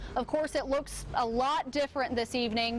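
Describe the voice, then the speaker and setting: A woman speaks at a moderate pace in a high voice with fairly even intonation over noticeable background noise. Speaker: TV news reporter. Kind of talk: TV news reporter live shot / package. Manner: clear, professional news delivery.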